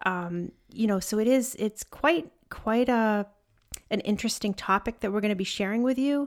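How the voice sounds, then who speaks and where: In a very clean recording with a silent background, a woman speaks at a fairly quick pace with ordinary pitch variation. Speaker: podcast co-host, mother. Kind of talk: casual chat. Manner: hesitant, many fillers.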